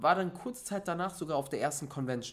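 A man's high voice, animated in tone, with lively intonation. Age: 20s. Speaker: motivational speaker. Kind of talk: casual chat.

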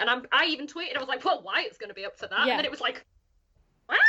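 A woman's voice with a northern English accent. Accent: flat northern English. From north of England. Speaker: podcast roundtable guest, fan of the show.

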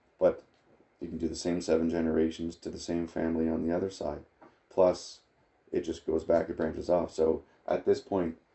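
A man's very deep, low, somewhat breathy voice in a monotone, flat delivery at a moderate pace. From Nova Scotia, Canada (Acadian, Clare). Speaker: family history guest. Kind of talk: casual interview.

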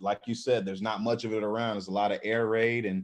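With an American accent, a man of medium pitch talks at a fairly quick pace in an ordinary speaking voice. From Texas. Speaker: former college football player. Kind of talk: interview.

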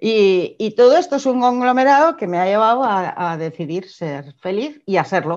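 Against a quiet background, a woman speaks at a moderate pace in a fairly high pitch that swings very widely. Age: 50s. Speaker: entrepreneur, former publishing executive. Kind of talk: interview. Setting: video call.

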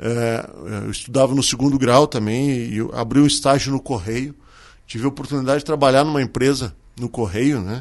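Medium in pitch, a man talks in a normal speaking voice. He keeps a moderate pace and fairly even intonation. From southern Brazil, Serra Gaúcha. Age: 40s. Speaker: restaurant owner. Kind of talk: radio interview.

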